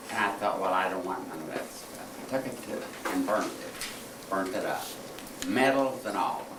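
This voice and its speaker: Amid noticeable background noise and audible room echo, a man speaks at a moderate pace with a fairly low pitch. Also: ordinary pitch variation. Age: 80s+. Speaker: war veteran. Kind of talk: testimony. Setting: classroom talk to school pupils. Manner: halting.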